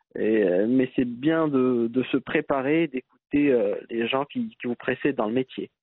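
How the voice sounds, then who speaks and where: A man with a medium pitch and ordinary pitch variation talks at a fairly slow pace. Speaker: entrepreneur. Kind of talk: interview. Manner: halting.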